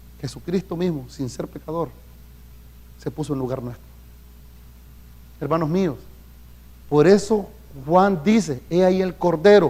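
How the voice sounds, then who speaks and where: A dark, mellow tone with ordinary pitch variation is broken by long, frequent pauses. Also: man, fairly high pitch for a man. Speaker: pastor. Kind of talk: sermon. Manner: fast; animated.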